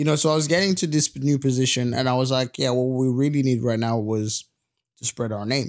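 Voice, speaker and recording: With a British accent, a man speaks at a medium pitch and a fairly quick pace, with ordinary pitch variation. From Congo, Central Africa. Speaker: podcast co-host. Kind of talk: casual chat.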